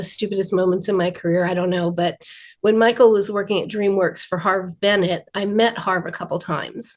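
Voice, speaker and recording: A woman talks at a fairly quick pace in an ordinary speaking voice, medium in pitch with fairly even intonation. The background is quiet. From rural New Jersey. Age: 60s. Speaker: animation writer. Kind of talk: interview.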